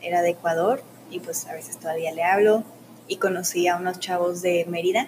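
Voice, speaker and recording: A woman's fairly low-pitched voice at a moderate pace, with fairly even intonation, long, frequent pauses and noticeable background noise. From Mexico, Ciudad Juárez, Chihuahua. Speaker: student. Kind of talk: casual interview. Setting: studio.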